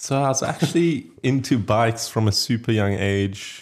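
A man's lively intonation in a very clean recording with a silent background. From South Africa, Johannesburg. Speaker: artist and graphic designer. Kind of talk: casual chat.

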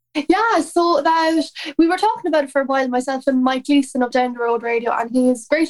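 A woman with an Irish accent speaks at a fairly quick pace in a high voice, with ordinary pitch variation and noticeable background noise. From Ireland. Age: 20s. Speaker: country singer. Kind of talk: casual interview chat.

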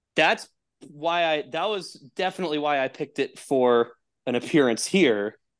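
A man with an American accent talks at a moderate pace against a quiet background in a plain, everyday voice. His fairly high pitch carries lively intonation. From Texas. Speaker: podcaster. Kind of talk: casual chat.

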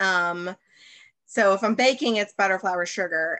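A woman with an American accent and a bright, sharp tone, set against a quiet background. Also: dry, close sound with no echo. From US South, Birmingham, Alabama. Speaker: baker, actor and cooking show host. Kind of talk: casual chat.

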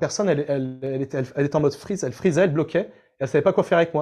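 A man talks at a very fast pace in a dark, mellow tone. His pitch varies in an ordinary way over a quiet background. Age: 30s. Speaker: language learning coach. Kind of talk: interview.

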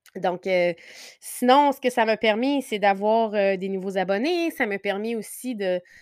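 On a very clean recording with a silent background, a woman at a medium pitch speaks with ordinary pitch variation, the sound dry and close with no echo. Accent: Quebec. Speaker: podcast host, interior designer. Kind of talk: casual solo podcast monologue. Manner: hesitant, many fillers.

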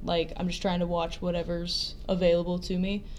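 A woman with a medium pitch speaks amid audible room echo. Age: young. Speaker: professional wrestler. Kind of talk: interview.

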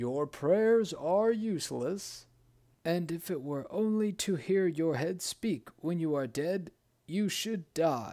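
The recording is very clean, with a silent background. A man with a high pitch speaks at a fairly slow pace with lively intonation. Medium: read story. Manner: cold, dismissive.

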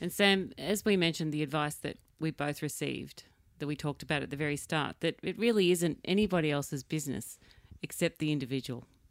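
In an Australian accent, a woman talks at a very fast pace in a very deep, low pitch with ordinary pitch variation. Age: 50s. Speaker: podcast host. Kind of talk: casual interview.

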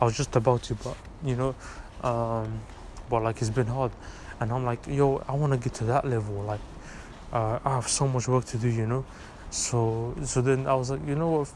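A man speaks at a moderate pace with a medium pitch and fairly even intonation. Long, frequent pauses break up his speech over noticeable background noise. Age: 20s. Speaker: vlogger and university student. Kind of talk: casual vlog monologue. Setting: walking on balcony. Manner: rambling with many fillers.

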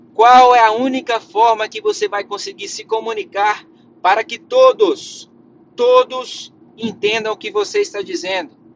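This man's pitch is extremely high, with lively intonation, an animated tone and big swings in loudness. He talks at a fairly slow pace. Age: 20s. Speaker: career podcast host. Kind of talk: solo podcast monologue.

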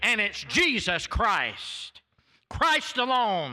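A man's raised, projected voice with an American accent, extremely high in pitch, animated and bright, sharp in tone. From US South, Florida. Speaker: visiting preacher. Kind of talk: sermon. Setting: church. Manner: fiery, animated.

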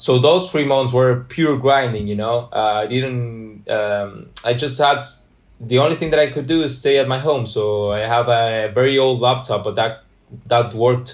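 A man speaks with an Argentine accent. His pitch is medium and his pace moderate. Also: ordinary pitch variation. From Argentina, Buenos Aires. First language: Spanish. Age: 20s. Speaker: graphic designer.

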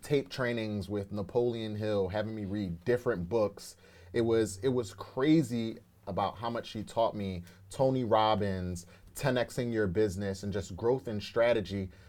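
Here a man with a fairly low pitch and an ordinary speaking voice talks at a moderate pace, his intonation fairly even. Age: 30s. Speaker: entrepreneur. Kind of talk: casual interview.

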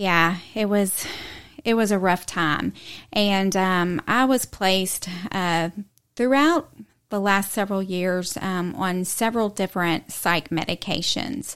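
On a very clean recording with a silent background, a woman with an American accent speaks at a very slow pace in a medium pitch with ordinary pitch variation. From Texas, Houston area. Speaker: person sharing recovery story. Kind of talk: testimony.

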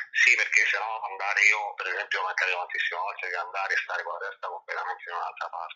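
A man at a very fast pace with hardly any pauses. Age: 40s. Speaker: adult amateur dancer. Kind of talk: interview. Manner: halting.

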